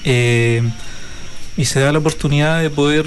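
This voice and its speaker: A man with a fairly high pitch speaks with fairly even intonation. Audible room echo and noticeable background noise surround him. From Chile, Araucanía region. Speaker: folk dance teacher. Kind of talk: interview.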